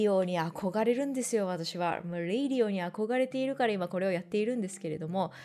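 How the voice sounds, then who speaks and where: The speaker's intonation is lively. Behind the voice, music is playing. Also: woman. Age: 30s. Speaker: art podcast host. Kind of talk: casual solo radio talk.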